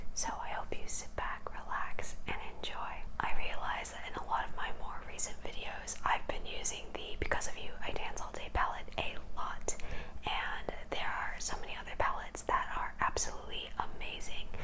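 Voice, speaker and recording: A woman whispers in a gentle tone at a moderate pace, with noticeable background noise. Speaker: ASMR makeup creator. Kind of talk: ASMR makeup tutorial. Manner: whispered, gentle.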